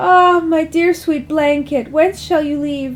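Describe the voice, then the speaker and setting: A woman performs a put-on character voice. It sits high in pitch and moves at a fairly slow pace. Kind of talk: mock-Shakespearean melodrama. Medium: read story. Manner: archaic, flowery.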